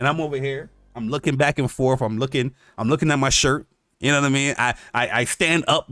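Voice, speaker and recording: Music plays behind a man who speaks fairly quickly in an animated tone, his pitch fairly high. The sound is dry and close, with no echo. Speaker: storyteller. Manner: animated storyteller, repeats words.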